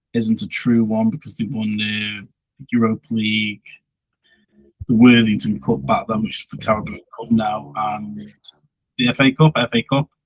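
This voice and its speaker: The sound is dry and close with no echo as a man talks at a moderate pace with ordinary pitch variation. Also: long, frequent pauses. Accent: Stoke. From Stoke-on-Trent, England. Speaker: football podcast co-host. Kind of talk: casual chat.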